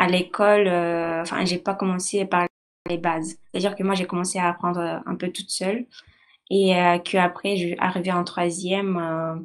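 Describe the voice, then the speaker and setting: Fairly low female speech, delivered in a flat monotone. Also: moderate pace. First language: not French (speaking French). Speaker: university student. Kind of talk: testimony. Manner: halting, many hesitations.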